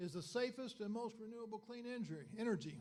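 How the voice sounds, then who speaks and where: A man with a high pitch and an American accent speaks at a moderate pace, with audible room echo. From Arkansas, US South. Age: 70s. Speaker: chemical engineer, dinner speaker. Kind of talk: lecture. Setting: dinner meeting audience. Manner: halting, many fillers.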